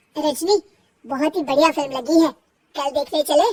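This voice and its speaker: A woman performs a cartoonish character voice at a high pitch, with ordinary pitch variation. Her pace is moderate, and the sound is dry and close with no echo. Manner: warm, gentle.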